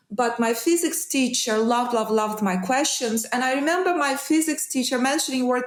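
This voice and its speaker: A woman speaks with a high pitch and lively intonation. Audible room echo surrounds her voice. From Ukraine. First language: Russian or Ukrainian. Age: 50s. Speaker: trading mentor. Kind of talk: interview.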